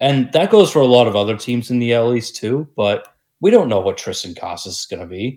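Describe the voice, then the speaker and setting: With a normal speaking voice, a man talks at a moderate pace with lively intonation on a very clean recording with a silent background. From Massachusetts, US. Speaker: sports podcast co-host. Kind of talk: casual chat.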